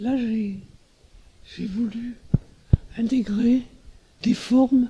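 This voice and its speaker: Very slowly, a man with a high pitch speaks in a monotone, flat intonation. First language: German (speaking French). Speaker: artist. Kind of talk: interview. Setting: artist's studio. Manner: halting.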